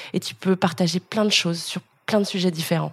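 The sound is dry and close with no echo as a woman talks at a very fast pace, somewhat breathy, with a medium pitch and fairly even intonation. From France, Lyon. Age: 30s. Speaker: influencer and content creator. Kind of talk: interview. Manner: casual, hesitant with many fillers.

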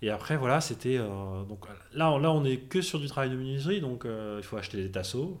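A man speaks at a medium pitch and a moderate pace. His intonation is lively, and the room has an audible echo. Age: 30s. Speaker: finance worker, home renovator. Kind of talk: casual interview.

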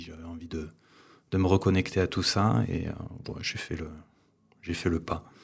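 A somewhat breathy man's voice with monotone, flat intonation. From Ariège, southwest France. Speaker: wildlife photographer. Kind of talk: casual chat. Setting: at his home.

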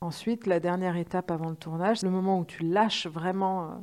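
Using a plain, everyday voice, a woman speaks at a moderate pace and fairly low pitch with fairly even intonation. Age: 40s. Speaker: screenwriter. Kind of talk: interview.

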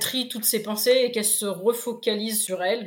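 In an ordinary speaking voice, a woman talks at a fairly high pitch and a moderate pace, her intonation fairly even. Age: 40s. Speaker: sophrologist and motivational coach, former firefighter. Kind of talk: interview.

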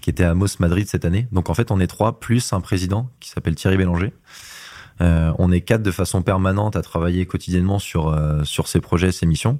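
A man speaks at a very deep, low pitch with a dark, mellow tone and ordinary pitch variation, on a very clean recording with a silent background. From western France, Laval. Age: 20s. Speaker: rugby player and event project manager. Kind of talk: interview. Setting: office.

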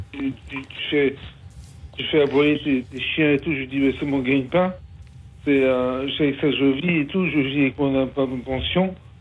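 A man speaks with fairly even intonation, leaving long, frequent pauses. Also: fairly high pitch for a man, fairly slow pace. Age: 50s. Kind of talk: testimony. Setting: phone call. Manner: halting, hesitant.

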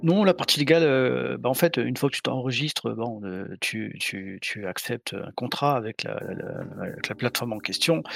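Noticeable background noise sits behind a dry, close sound with no echo. A man speaks at medium pitch and a fairly slow pace. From southern France, Montpellier. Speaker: penetration tester and bug bounty hunter. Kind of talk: casual chat. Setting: live stream recording.

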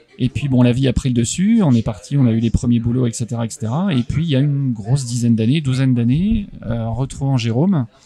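Moderate pace and ordinary pitch variation, with noticeable background noise. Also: man. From France, Haute-Marne (Chaumont). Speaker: comics publisher. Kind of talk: interview. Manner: hesitant, many fillers and repetitions.

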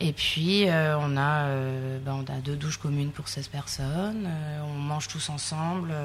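Against noticeable background noise, a woman with a very deep, low pitch speaks at a very slow pace, with fairly even intonation and hardly any pauses. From southern France, Sète. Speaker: fisheries technician. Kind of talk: interview. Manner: hesitant.

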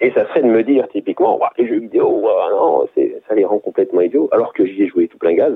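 Big swings in loudness at a fairly quick pace. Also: man. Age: 40s. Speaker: parent guest. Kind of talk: casual chat. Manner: halting.

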